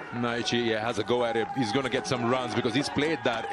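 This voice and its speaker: Noticeable background noise sits behind this recording. A man speaks at a fairly quick pace in an animated, excited tone. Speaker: cricket commentator. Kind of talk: live ball-by-ball cricket commentary. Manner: animated, bursts of excited praise for big shots; clipped, fragmentary play-by-play phrasing.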